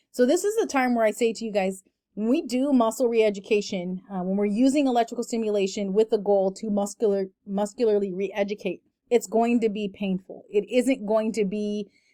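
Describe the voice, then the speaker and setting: A woman talks at a fairly quick pace with fairly even intonation. Her tone is dark and mellow. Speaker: lecturer. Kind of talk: lecture. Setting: online recorded lecture. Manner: fast.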